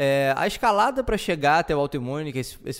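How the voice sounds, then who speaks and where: A man talks at a moderate pace. The recording is very clean, and the background is silent. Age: 30s. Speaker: podcast host. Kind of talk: solo podcast monologue. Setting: home living room. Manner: halting, many fillers.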